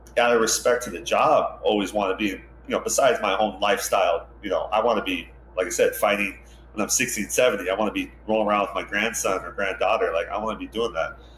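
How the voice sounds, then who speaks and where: A man rushes through his words at a very fast rate while noticeable noise sounds behind him. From Hawaii (Hilo, Big Island). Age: 40s. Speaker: ocean lifeguard captain, former pro surfer. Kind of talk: interview conversation. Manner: casual, filler-heavy.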